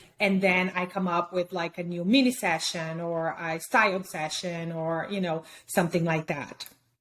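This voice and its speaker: With a Brazilian Portuguese accent, a woman with a fairly low pitch talks at a moderate pace and hardly pauses. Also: fairly even intonation. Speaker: fine art photographer. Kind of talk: interview. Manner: hesitant, with many fillers.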